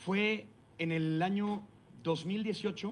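This man has a Mexican accent and a high voice. His pitch varies in an ordinary way. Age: 40s. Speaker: radio announcer and impressionist. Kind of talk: talk to students. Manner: conversational with many fillers.

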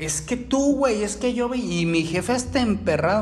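A high-pitched male voice with very wide pitch swings, audible room echo and noticeable background noise. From Mexico City. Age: 20s. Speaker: phone repair technician and podcaster. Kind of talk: casual monologue. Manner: hesitant with many repetitions.

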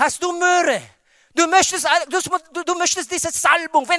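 With a strong non-native accent, a man speaks fairly slowly in a raised, projected voice, his tone bright, sharp and animated. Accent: strong foreign accent in German. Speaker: pastor. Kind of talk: sermon. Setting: church with congregation. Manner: animated, preacherly, with call-and-response 'Amen' and emphatic exclamations.

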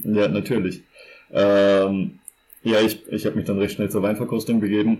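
Fairly low male voice, monotone and flat, at a moderate pace with very even loudness. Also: very clean recording, silent background. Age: 20s. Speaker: podcast co-host. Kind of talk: casual chat.

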